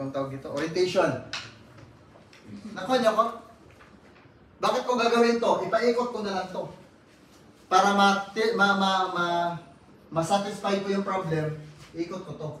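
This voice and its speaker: A man speaks loudly at a moderate pace in a high pitch, his animated tone carrying ordinary pitch variation and long, frequent pauses. Noticeable background noise and audible room echo fill the recording. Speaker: architecture lecturer. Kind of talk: lecture.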